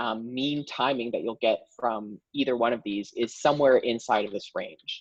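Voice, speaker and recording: A man talks at a moderate pace with hardly any pauses. His intonation is fairly even. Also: medium pitch for a man. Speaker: workshop presenter. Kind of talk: tutorial. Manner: hesitant, many fillers.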